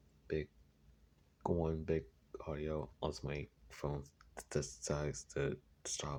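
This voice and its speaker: Dark and mellow in tone, a man's very deep, low voice carries vocal fry and fairly even intonation. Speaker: gaming lore youtuber. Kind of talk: casual video commentary. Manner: halting. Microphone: recorded on phone.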